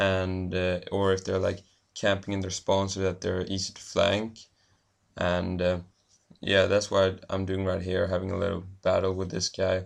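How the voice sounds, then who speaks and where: Over a quiet background, a man with a Swedish accent speaks at a moderate pace in a very deep, low pitch with monotone, flat intonation. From Sweden. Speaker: gaming commentator. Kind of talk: gameplay commentary. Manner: hesitant, many fillers.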